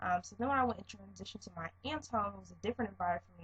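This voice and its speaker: A woman speaks in a soft-spoken way. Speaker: vlogger. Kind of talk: casual monologue vlog.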